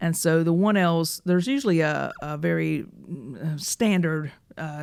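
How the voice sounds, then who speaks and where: In a Southern US accent, a woman talks at a fairly low pitch with ordinary pitch variation, on a very clean recording with a silent background. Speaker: personal injury lawyer, podcast host. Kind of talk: casual chat.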